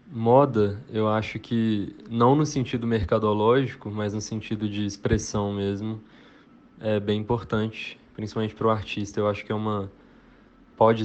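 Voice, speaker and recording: A man speaks at a fairly low pitch in a monotone, flat intonation. He keeps a moderate pace with long, frequent pauses. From Belo Horizonte, Minas Gerais, Brazil. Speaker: singer-songwriter. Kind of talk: interview.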